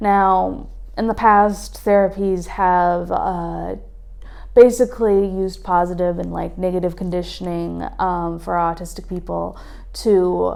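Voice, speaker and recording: There is audible echo from the room as a woman talks fairly slowly. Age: 20s. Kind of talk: casual explainer monologue. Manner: hesitant, many fillers.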